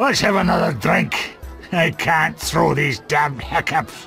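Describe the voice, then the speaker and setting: Over clear background music, a man does a raspy put-on character voice at a fairly slow pace. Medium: machinima.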